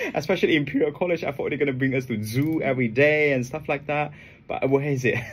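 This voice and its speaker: A man speaks at a very fast pace in a fairly high, somewhat breathy voice with fairly even intonation. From Asia. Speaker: trading educator. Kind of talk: radio interview. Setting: radio studio. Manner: halting, many repetitions.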